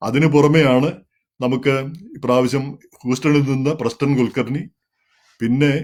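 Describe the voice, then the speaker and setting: This man's voice sits at a medium pitch, delivered with monotone, flat intonation. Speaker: commentary show host. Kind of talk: monologue commentary. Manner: halting.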